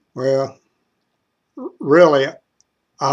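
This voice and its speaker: A man's medium-pitched voice in an Appalachian accent, very slow, with fairly even intonation. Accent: Appalachian Kentucky. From eastern Kentucky. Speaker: joke teller vlogger. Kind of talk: casual joke telling monologue. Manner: stammering.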